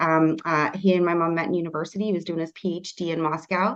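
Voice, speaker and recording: This woman has an ordinary speaking voice, with a Canadian accent, a fairly low pitch and a fairly quick pace. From Canada. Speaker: real estate agent and team leader. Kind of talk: podcast interview.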